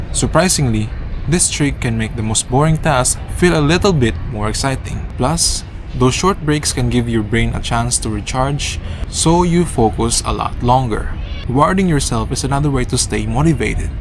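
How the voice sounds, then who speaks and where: This man talks at a moderate pace. His voice sits amid noticeable background noise and audible room echo. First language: not English. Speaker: vlogger. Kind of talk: talk to camera. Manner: halting.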